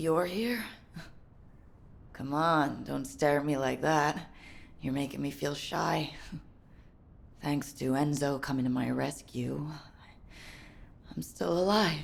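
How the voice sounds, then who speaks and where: In a put-on character voice, a woman speaks raspy and very deep, at a fairly slow pace with long, frequent pauses. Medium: video game.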